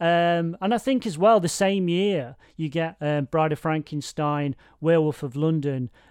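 A man with an East Midlands accent speaks at a fairly slow pace and a fairly high pitch. His pitch varies in an ordinary way against a quiet background. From Nottingham, England. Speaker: podcast host. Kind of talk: casual chat. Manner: halting, self-interrupting.

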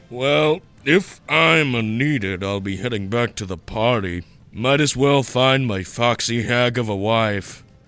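Over faint background music, a man with a medium pitch speaks at a fairly slow pace with lively intonation. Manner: crude, joking, flippant.

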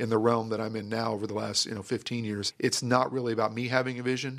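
In a very clean recording with a silent background, a man with a Texan accent talks at a very fast pace in a medium pitch with fairly even intonation. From North Texas (Grand Prairie). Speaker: pastor. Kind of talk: interview.

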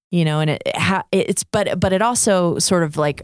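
Dry and close, with no echo, the recording carries a woman's speech. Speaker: podcast host. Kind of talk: casual podcast chat. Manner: animated, chatty.

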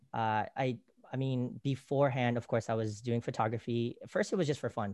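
Here a man speaks with fairly even intonation. The background is quiet. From Philippines. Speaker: film producer and creative director. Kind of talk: casual chat. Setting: video call.

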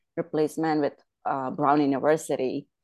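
A woman's very deep, low pitch in monotone, flat intonation, against a quiet background. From India; Bombay, India, then Pennsylvania. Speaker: painter. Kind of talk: casual interview chat. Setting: video call. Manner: laughs often, warm.

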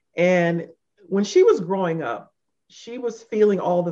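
A woman speaks in an ordinary speaking voice at a medium pitch. Her intonation is lively and her pace fairly slow. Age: 50s. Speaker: podcast co-host. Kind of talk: casual chat.

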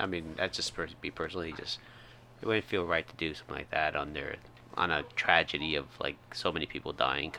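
A man with an American accent, very deep and low in pitch, with vocal fry, a bright, sharp tone, fairly even intonation and a fairly quick pace. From Indiana, US Midwest. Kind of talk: casual chat, podcast banter.

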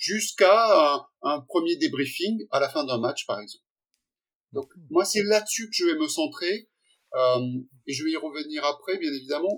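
His voice sits high and his intonation is lively. This man talks fairly slowly. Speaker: sports science professor. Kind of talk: interview. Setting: video call.

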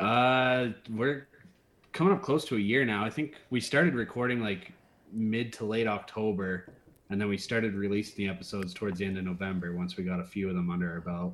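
This man talks in a normal speaking voice, fairly low in pitch with ordinary pitch variation. He moves at a fairly quick pace. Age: 30s. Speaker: horror podcast host. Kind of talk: casual chat.

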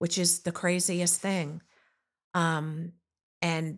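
In a very clean recording with a silent background, a woman with an American accent speaks very slowly at a fairly low pitch. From Long Island, New York, US. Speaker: nurse and mother. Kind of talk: personal storytelling in interview.

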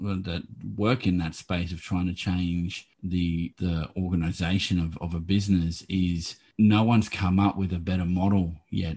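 A man with an Australian accent speaks with a very deep, low pitch at a moderate pace. His tone is dark, mellow and somewhat breathy, with monotone, flat intonation. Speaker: podcast host. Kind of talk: interview.

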